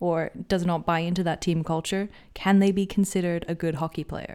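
A woman speaks with a fairly low pitch in a normal speaking voice. Her intonation stays fairly even. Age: 20s. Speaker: podcast host. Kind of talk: casual interview chat.

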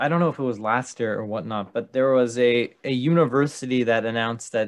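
In a quiet background, a man with a normal speaking voice talks at a medium pitch and moderate pace, using ordinary pitch variation. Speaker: podcast host, student. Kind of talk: casual chat.

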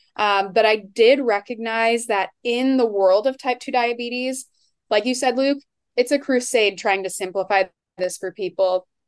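This is an unremarkable speaking voice at a moderate pace with ordinary pitch variation. The background stays quiet. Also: woman, fairly high pitch for a woman. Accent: American. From Iowa. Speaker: dietitian. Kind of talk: podcast interview.

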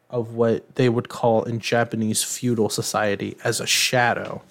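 A man talks at a fairly slow pace. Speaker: podcast host. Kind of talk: casual chat. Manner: hesitant, many fillers.

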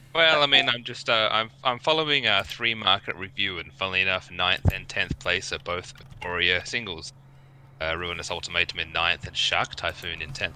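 With lively intonation, a man speaks at a moderate pace in a fairly low pitch and a bright, sharp tone. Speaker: card trader. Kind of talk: casual group discussion.

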